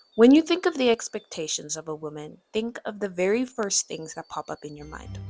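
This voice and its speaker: Someone speaks at a fairly quick pace with very wide pitch swings, the sound dry and close with no echo, over music in the background. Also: woman. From South Africa. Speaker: YouTuber. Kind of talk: personal video essay narration.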